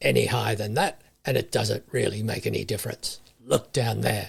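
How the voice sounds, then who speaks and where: Using a raspy put-on character voice, a man speaks at a fairly low pitch and a moderate pace. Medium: read story. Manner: dry, matter-of-fact.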